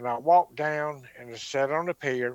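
With a Southern US accent, a man speaks at a fairly slow pace in a dry, close sound with no echo. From US South (Mississippi). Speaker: alien abduction witness and author. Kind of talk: testimony.

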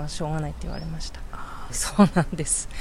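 A woman talks fairly quickly in a space with audible room echo and noticeable background noise. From Shizuoka, Japan. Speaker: civic activist. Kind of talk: interview.

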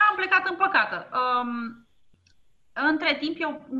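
A woman speaks with very wide swings in pitch. Noticeable noise sits in the background. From Romania, Ploiești. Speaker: entrepreneur. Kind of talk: interview. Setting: internet call.

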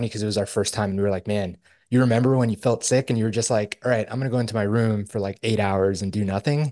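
At a very fast pace, a man talks in a medium pitch with ordinary pitch variation against a quiet background. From Spanish-speaking immigrant family, raised in Texas. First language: Spanish. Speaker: podcast co-host. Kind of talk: casual chat.

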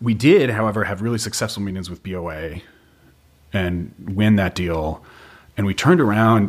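Speaking with an American accent at a moderate pace, the voice has ordinary pitch variation, big swings in loudness, and long, frequent pauses. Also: man, fairly low pitch for a man. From western Massachusetts. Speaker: legal director and co-founder of a marching band sports company. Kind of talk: casual interview chat. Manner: informal, joking.

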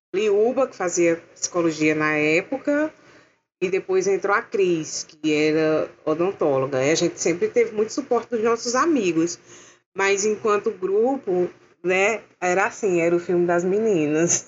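Speaking in a plain, everyday voice, a woman uses lively intonation at a medium pitch and a fairly slow pace. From interior of Paraíba, Brazil. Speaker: film art director and costume designer. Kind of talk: casual chat.

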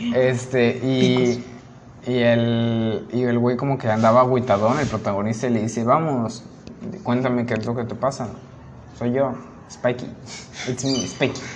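A man of medium pitch speaks at a fairly slow pace in a monotone, flat intonation, with long, frequent pauses. There is audible room echo and noticeable background noise. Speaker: podcast co-host. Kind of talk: casual chat.

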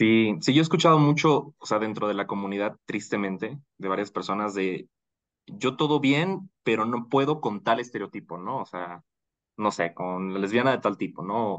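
Over a quiet background, a man with a normal speaking voice and fairly low pitch talks at a moderate pace with lively intonation. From Bolivia. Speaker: marketing professional. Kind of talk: casual chat.

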